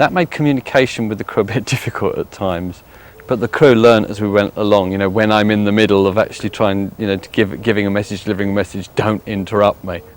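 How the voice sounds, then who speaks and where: In a southern English accent, a man talks at a very fast pace with hardly any pauses, a fairly low pitch and fairly even intonation. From West Sussex, England. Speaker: psychic medium. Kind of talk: interview answer.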